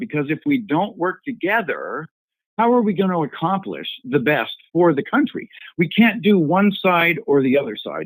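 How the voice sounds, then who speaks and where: Pitch swings very widely as a man speaks at a moderate pace. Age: 70s. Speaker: caller on a congressman's conference call. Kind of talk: question from a caller. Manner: halting.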